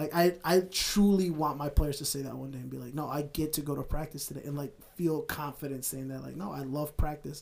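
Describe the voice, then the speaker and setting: A man's fairly high, somewhat breathy voice at a fairly quick pace, with fairly even intonation and big swings in loudness. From US, Mexican-American family. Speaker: roof inspector and sports coach. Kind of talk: casual chat.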